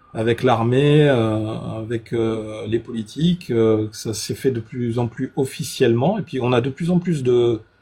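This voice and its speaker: Over noticeable background noise, a man with a medium pitch speaks at a very slow pace with ordinary pitch variation. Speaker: UFO content creator. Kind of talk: live stream conversation. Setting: live stream. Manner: hesitant, many fillers.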